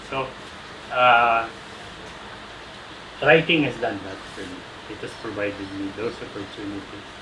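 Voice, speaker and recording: A man at medium pitch talks at a fairly slow pace with long, frequent pauses, ordinary pitch variation and big swings in loudness. Audible room echo and noticeable background noise are present. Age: 60s. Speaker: veteran sportswriter. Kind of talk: interview.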